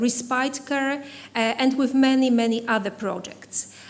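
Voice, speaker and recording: With audible room echo around her, a woman speaks in a Polish accent at a high pitch. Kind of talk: conference keynote. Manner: halting, many fillers.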